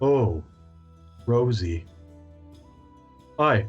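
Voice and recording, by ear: A man's rumbling, put-on character voice at a medium pitch, with faint music in the background.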